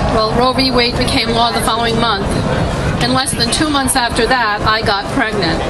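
Loud background noise runs behind a woman who speaks at a moderate pace. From Tennessee. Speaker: abortion testimony speaker. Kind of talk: testimony. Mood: somber, confessional. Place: street. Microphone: handheld.

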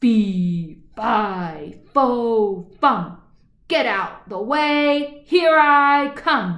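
Bellowing in a put-on character voice, a woman speaks at a very slow pace. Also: fairly high pitch for a woman. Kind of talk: bedtime story. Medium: read story. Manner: bellowing, commanding, menacing.

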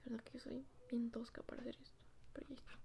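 A soft-spoken woman talks at a very fast pace. Light background noise is present. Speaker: toy unboxing vlogger. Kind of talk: casual vlog chat. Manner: soft-spoken quiet ASMR voice. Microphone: phone near.

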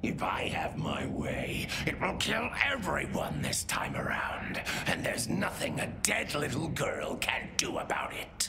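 A man whispering at a fairly slow pace. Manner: menacing, spiteful.

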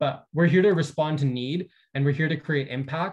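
A man speaks at a fairly quick pace, his pitch fairly high and his voice somewhat breathy. The background is quiet. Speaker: community organizer; presenter. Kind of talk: conference presentation. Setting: video call. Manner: animated. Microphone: video call.

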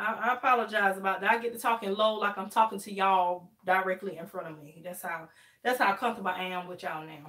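Very fast speech from a woman, bright and sharp in tone, with big swings in loudness, ordinary pitch variation and a quiet background. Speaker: hair livestreamer. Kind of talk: casual live stream chat. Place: home room.

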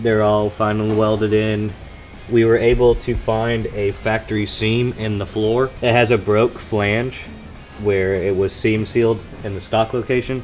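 Flat, monotone delivery comes from a man with a fairly low pitch. He speaks at a moderate pace over faint background music. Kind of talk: casual build update. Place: garage.

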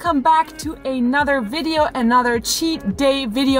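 Over clear music in the background, a woman talks at a fairly slow pace in a dry sound with no echo. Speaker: vlogger. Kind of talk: casual vlog chat. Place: car. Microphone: phone near.

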